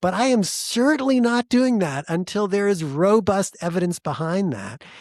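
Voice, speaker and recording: A man at a moderate pace with lively intonation, dry, close sound with no echo, and a very clean recording over a silent background. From United States. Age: 50s. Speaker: physician. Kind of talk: interview.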